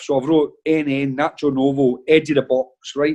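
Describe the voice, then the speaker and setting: The voice has a Glaswegian accent and a dark, mellow tone, heard over a quiet background. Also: man. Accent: Glaswegian Scottish. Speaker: football manager. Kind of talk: casual chat, anecdotes on a podcast. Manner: animated storytelling.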